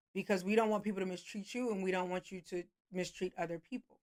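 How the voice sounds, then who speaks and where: Fairly even intonation in a dry, close sound with no echo. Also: woman. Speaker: therapist. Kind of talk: casual advice monologue. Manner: fast.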